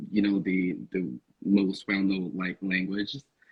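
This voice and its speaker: Moderate-paced speech in a Portuguese accent. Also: man. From Northeast Brazil. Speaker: podcast guest. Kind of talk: casual chat.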